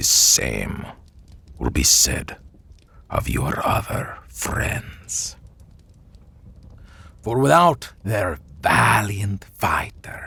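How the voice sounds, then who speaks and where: In a put-on character voice, a man speaks raspy and fairly low with a menacing tone. His delivery is very slow, with long, frequent pauses. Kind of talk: audio roleplay. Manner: slow, menacing.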